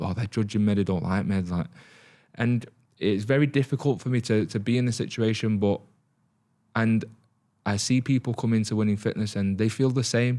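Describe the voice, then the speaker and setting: This voice has a dark, mellow tone and speaks in a Salford accent. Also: man. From northern England, Salford (Manchester). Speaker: fitness business owner, podcast host. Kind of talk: solo podcast monologue, personal story. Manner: casual, with many fillers and restarts.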